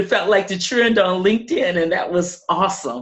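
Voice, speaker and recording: At a moderate pace, a woman speaks in a medium pitch, somewhat breathy, with lively intonation. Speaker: podcaster. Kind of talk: interview answer.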